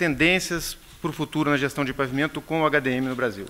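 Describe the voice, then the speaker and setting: Fairly high in pitch, a man speaks at a very fast pace with a bright, sharp tone. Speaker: pavement engineer. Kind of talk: conference presentation. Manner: hesitant, many fillers.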